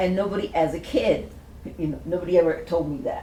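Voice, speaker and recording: Noticeable background noise and audible room echo surround a woman at medium pitch. She talks at a moderate pace with fairly even intonation. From Princeton, New Jersey. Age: 70s. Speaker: community elder, panelist. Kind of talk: panel discussion, personal testimony.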